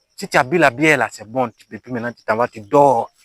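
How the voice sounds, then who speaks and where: A man speaks at a moderate pace in an animated tone, the sound dry and close with no echo. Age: 20s. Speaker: farmer. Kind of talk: comedic vlog monologue. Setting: outdoors.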